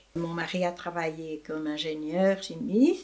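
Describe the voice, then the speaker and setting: Fairly slow speech from a woman with a fairly low pitch, noticeable noise in the background. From Belgium. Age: 80s+. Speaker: retired primary school teacher. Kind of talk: interview answer.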